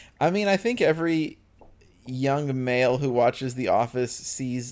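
A man's voice at medium pitch, at a fairly slow pace. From Chicago area, US. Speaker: podcast host. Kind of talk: casual podcast chat about a TV show.

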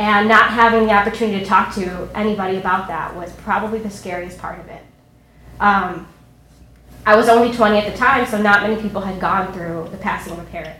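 With noticeable background noise behind her, a woman talks at a fairly quick pace in a medium pitch, her intonation fairly even but her loudness swinging widely. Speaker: actress and teacher.

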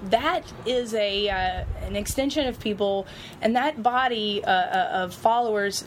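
Speaking in an Alabama accent, a woman uses a medium pitch with ordinary pitch variation. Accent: Southern US (Alabama). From US South, Mobile, Alabama. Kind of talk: casual chat. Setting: outdoors on a porch.

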